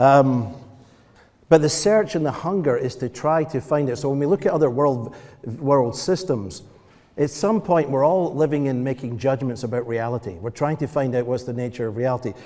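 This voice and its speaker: With a Scottish accent, the speaker talks at a moderate pace. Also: man, medium pitch for a man, lively intonation. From Scotland. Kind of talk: panel discussion. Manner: halting.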